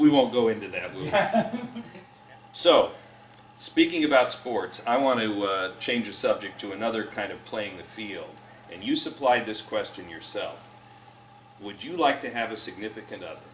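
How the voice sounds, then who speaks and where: A man at a moderate pace, with big swings in loudness and noticeable background noise. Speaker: interviewer. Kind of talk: interview host.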